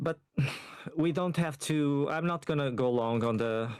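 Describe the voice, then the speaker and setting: A Portuguese accent marks this voice. It moves at a moderate pace with ordinary pitch variation. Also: man. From Portugal. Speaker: caller. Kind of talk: casual chat.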